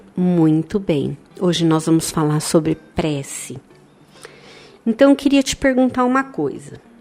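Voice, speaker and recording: Over music in the background, a woman with a fairly low voice talks fairly slowly, her pitch swinging very widely, with long, frequent pauses. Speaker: radio host of a spiritist children's program. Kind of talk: educational chat with a child. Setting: studio.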